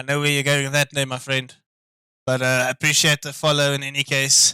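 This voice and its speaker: Dry and close with no echo, a man talks at a fairly quick pace in a fairly high pitch with a bright, sharp tone, monotone, flat intonation and big swings in loudness. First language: not English. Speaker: sim racing commentator. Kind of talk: live commentary. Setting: live stream. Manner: casual, hesitant with fillers.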